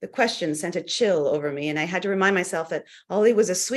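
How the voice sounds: The natural reading voice moves with lively intonation.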